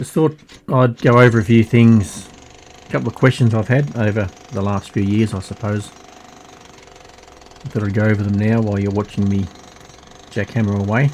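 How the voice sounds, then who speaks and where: A man speaks at a moderate pace with an Australian accent over noticeable background noise. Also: ordinary pitch variation. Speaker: hobbyist digger, video creator. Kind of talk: casual vlog talk. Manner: slightly slurred, hard to understand; halting.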